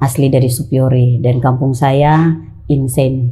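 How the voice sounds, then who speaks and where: Ordinary pitch variation in a Papuan accent. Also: woman. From Papua, Indonesia (Jayapura). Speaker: podcast guest. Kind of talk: casual interview. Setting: at her home.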